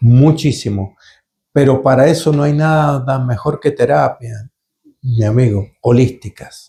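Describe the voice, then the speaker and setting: A man's somewhat breathy voice at medium pitch, very slow, with ordinary pitch variation. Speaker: holistic therapist / channeler. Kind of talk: live Q&A session. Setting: live stream. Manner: halting, some repetitions.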